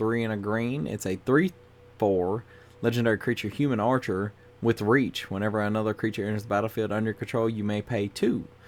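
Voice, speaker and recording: Music plays in the background as a man with a fairly low voice speaks at a fairly quick pace. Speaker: YouTuber reviewing Magic cards. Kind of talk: casual card review monologue. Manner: monotone.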